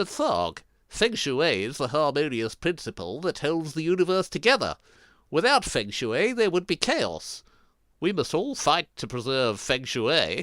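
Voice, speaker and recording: In a cartoonish character voice, a man speaks fairly high in pitch at a moderate pace, recorded very cleanly against a silent background. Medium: puppet. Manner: meek, hesitant.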